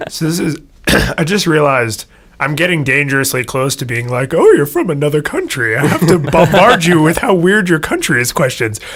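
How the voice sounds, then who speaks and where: In an American accent, a man speaks at a fairly quick pace and fairly high pitch, with noticeable background noise. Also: ordinary pitch variation. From United States. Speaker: podcast co-host. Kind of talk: casual chat.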